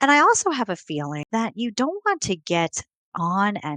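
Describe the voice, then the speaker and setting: Over a quiet background, a woman of medium pitch speaks in an American accent with an animated, bright, sharp tone, the sound dry and close with no echo. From New York City, Queens. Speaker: health coach. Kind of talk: live webinar presentation.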